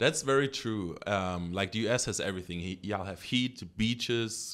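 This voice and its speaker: A man with a German accent on a very clean recording against a silent background. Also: fairly low pitch for a man, ordinary pitch variation, moderate pace. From Germany. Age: 20s. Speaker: track and field athlete. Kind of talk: casual interview chat.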